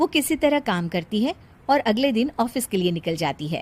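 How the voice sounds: Her pace is moderate. This woman's fairly high voice moves through big pitch swings.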